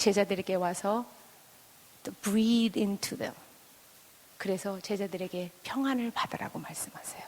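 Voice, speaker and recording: A woman at a medium pitch keeps a fairly even intonation. Her loudness swings widely, and she leaves long, frequent pauses. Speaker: pastor's wife and speaker. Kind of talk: sermon. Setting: church with audience.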